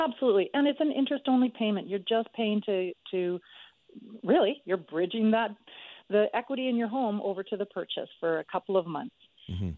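Using a normal speaking voice, a woman talks at a fairly quick pace. Her pitch is fairly high and her intonation lively. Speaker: mortgage broker. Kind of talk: expert advice on radio.

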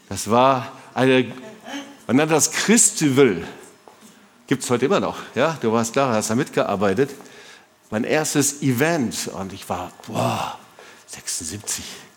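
Through noticeable background noise, a man speaks in an animated tone. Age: 60s. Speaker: pastor. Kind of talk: sermon.

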